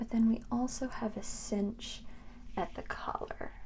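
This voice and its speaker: Soft-spoken and soothing in tone, a woman talks at a very slow pace with lively intonation. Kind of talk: ASMR laundry folding talk. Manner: soft-spoken, soothing, slow.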